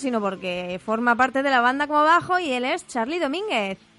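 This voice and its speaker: Projecting in a raised voice, a woman speaks high in pitch with a bright, sharp tone and very wide pitch swings. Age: 20s. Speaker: radio co-host. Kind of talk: casual radio chat.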